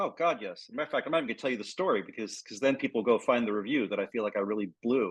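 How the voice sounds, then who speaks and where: Speech from this man comes at a very fast pace. His pitch is medium. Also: ordinary pitch variation, hardly any pauses. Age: 50s. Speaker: book critic. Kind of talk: interview. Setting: video call.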